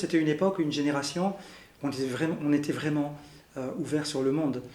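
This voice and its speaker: A man's fairly high voice at a very fast pace, with fairly even intonation and audible room echo. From Belgium, Brussels. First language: Arabic (speaking French). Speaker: interviewee sharing family history. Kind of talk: interview testimony. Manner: halting, many fillers.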